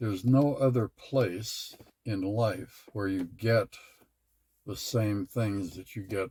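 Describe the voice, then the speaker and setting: A man's fairly low, somewhat breathy voice with a dark, mellow tone, a very slow pace, ordinary pitch variation and a dry, close sound with no echo. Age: 80s+. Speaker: retired father of a large family. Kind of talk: interview answer.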